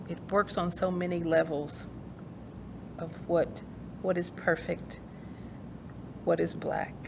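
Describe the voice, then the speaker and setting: With noticeable background noise behind her, a woman with a Kentucky accent speaks very slowly at a fairly low pitch. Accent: Kentucky country twang. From rural eastern Kentucky, Appalachia. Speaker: author and poet. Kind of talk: interview conversation. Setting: recorded virtual program. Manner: halting, many fillers.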